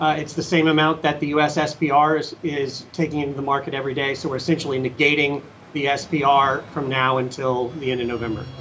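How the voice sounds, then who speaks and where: Over noticeable background noise, a man with a fairly high pitch talks at a fairly quick pace in a monotone, flat way with hardly any pauses. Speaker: energy investor. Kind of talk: market analysis interview.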